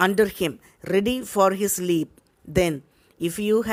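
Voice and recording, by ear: Natural-voiced reading aloud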